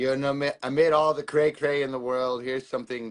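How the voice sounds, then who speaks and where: It is an ordinary speaking voice, delivered at a moderate pace. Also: man. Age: 30s. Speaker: author and fundraiser. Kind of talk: livestream chat.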